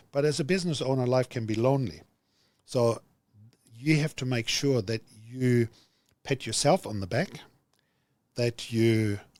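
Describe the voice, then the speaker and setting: With a German accent, a man speaks at a moderate pace and a medium pitch. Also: very clean recording, silent background. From Germany. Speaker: business executive. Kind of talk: podcast interview.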